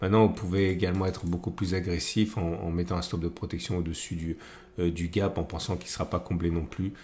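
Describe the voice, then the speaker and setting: Somewhat breathy speech at a fairly quick pace, with monotone, flat intonation. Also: man, very deep, low pitch for a man. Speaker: trading analyst YouTuber. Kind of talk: market analysis tutorial. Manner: hesitant, many fillers.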